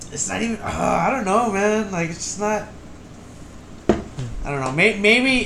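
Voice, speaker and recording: A loud man speaks at a high pitch with lively intonation and a fairly slow pace. Audible room echo and noticeable background noise fill the recording. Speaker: podcast co-host. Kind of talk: casual chat. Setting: recording with mics.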